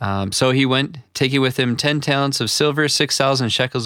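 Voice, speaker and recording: Speaking at a moderate pace, a man with an Upper Midwestern American accent uses a medium pitch. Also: very clean recording, silent background. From US upper Midwest. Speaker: pastor. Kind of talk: reading aloud.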